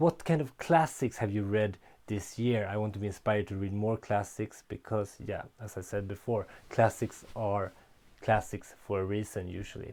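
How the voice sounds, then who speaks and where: In a very clean recording with a silent background, a man with a non-native accent speaks at a fairly low pitch. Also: ordinary pitch variation, moderate pace. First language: not English. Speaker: book reviewer. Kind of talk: book review vlog. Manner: casual, some hesitations.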